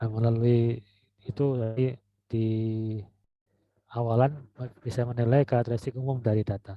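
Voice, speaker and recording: A soft-spoken man talks at a moderate pace with a medium pitch and a dark, mellow tone. His intonation is monotone and flat, and the sound is dry and close with no echo. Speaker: university lecturer. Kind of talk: lecture.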